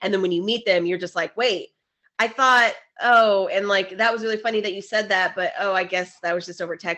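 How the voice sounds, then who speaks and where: The speaker talks at a fairly quick pace in an animated tone. Pitch variation is ordinary. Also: woman, medium pitch for a woman. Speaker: podcast co-host. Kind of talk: casual chat. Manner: fast.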